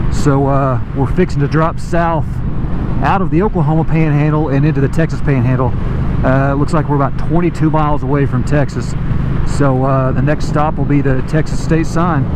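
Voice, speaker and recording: This man's fairly quick speech has a dry sound with no echo, though loud background noise surrounds it. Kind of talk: casual vlog chat. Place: motorbike.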